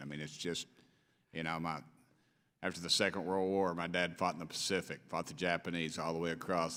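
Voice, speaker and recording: A man's very deep, low voice with a bright, sharp tone and an East Tennessee accent, very fast, with fairly even intonation. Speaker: congressman. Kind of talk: committee hearing questioning. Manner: informal, off the cuff.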